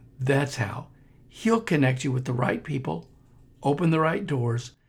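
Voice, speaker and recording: On a very clean recording with a silent background, a man speaks at a medium pitch with vocal fry. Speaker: podcast host and missionary minister. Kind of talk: podcast intro and appeal.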